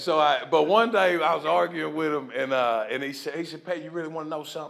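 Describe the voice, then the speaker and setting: The speaker has a Southern accent and an animated tone at a fairly quick pace. Noticeable background noise runs underneath. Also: man. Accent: Southern, sounds country. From US South, Nashville, Tennessee. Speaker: recovery speaker. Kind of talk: testimony.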